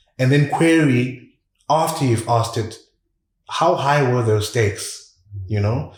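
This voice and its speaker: In a room with audible echo, a man with a medium pitch and ordinary pitch variation talks at a fairly slow pace, somewhat breathy, at a very even loudness and with long, frequent pauses. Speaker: communication coach. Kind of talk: podcast interview.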